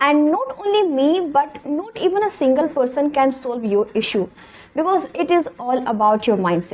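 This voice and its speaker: With an Indian accent, a woman talks at a moderate pace using very wide pitch swings. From India, Hindi-speaking region. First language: Hindi. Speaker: English teacher YouTuber. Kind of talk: motivational talk to camera.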